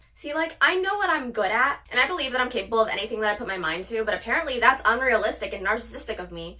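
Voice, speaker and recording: The voice is bubbly and energetic, with lively intonation and big swings in loudness. It races at a very fast pace with hardly any pauses over noticeable background noise. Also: woman, fairly high pitch for a woman. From Puerto Rico. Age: 20s. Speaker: social media creator. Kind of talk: casual vlog monologue. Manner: bubbly, energetic.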